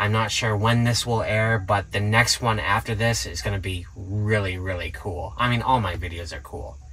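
A man speaks at a moderate pace with a fairly low pitch. His tone is bright and sharp, and his intonation stays fairly even.

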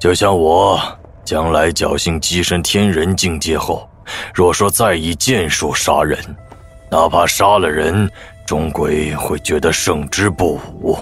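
A man performs a put-on character voice, very deep and low. His intonation is fairly even, with clear music in the background. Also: fairly slow pace. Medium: audio drama. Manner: teasing, relaxed.

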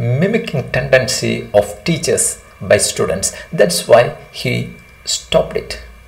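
Natural reading voice

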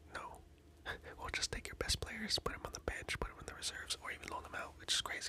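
Someone whispers at a very fast pace. Noticeable background noise sits behind the voice. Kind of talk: ASMR whisper video. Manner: whispered, soft-spoken.

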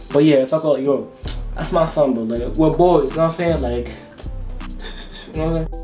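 A man speaks with an American accent at a fairly high pitch. Faint music plays in the background. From Providence, Rhode Island. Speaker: YouTuber. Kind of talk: casual talk to camera. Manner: casual, slangy. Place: home room. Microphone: webcam.

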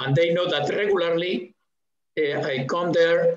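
A fairly slow voice with a Spanish accent, ordinary pitch variation and audible room echo. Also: man. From Spain. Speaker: museum director. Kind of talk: interview conversation. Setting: video call. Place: home room. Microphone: headset.

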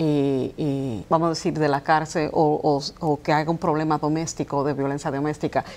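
A woman talks at a fairly slow pace. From New York, Dominican roots. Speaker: chemist and political candidate. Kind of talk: TV interview. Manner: halting. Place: studio. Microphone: lapel.

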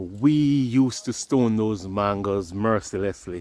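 Fairly low in pitch, a man speaks at a very slow pace. His intonation is fairly even, and the sound is dry with no echo. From Jamaica. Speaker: YouTuber. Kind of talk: vlog walk-and-talk narration. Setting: outdoors, walking. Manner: casual, conversational. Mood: nostalgic, relaxed. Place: open country. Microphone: phone near.

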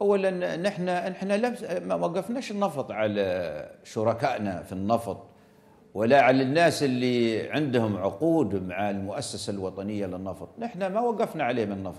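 Taking a fairly slow pace, the man's voice rises and falls through very wide pitch swings. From Libya. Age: 70s. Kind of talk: TV interview. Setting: remote link from Benghazi. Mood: firm, defensive. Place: studio.

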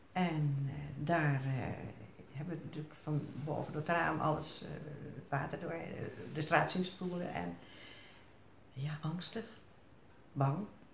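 Very deep and low, a woman's voice moves at a fairly slow pace with long, frequent pauses and fairly even intonation. Audible room echo and light background noise come through. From Zierikzee, Zeeland, Netherlands. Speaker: flood survivor. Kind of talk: interview answer. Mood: reflective, recalling fear. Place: home room. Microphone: phone near.

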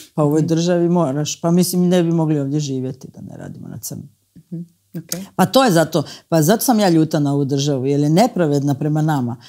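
Against a quiet background, a woman with a very deep, low pitch and a dark, mellow tone speaks fairly quickly, with ordinary pitch variation and big swings in loudness. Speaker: musician and TV presenter; TV presenter. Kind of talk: casual chat. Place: studio. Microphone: lapel.

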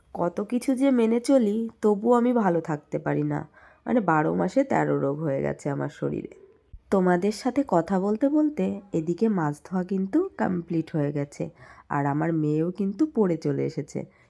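A woman speaks in a dark, mellow tone. Her pitch is fairly low, with very wide swings. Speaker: vlogger, homemaker. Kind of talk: casual vlog narration.

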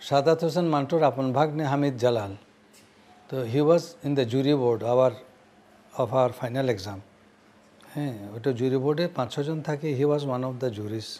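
A man's voice with a dark, mellow tone and ordinary pitch variation. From Bangladesh, Dhaka; Bangladesh. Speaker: elder interviewee recalling history; interviewee. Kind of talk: interview. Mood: warm, reflective. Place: home room.

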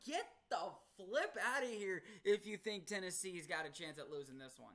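His pitch swings very widely as the man talks. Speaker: sports prediction vlogger. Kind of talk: casual commentary. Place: home room. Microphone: webcam.

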